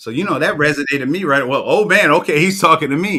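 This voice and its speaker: A man's raised, projected voice with an American accent, bright and sharp in tone, animated, with lively intonation. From New York. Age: 60s. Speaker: storytelling coach. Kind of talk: interview.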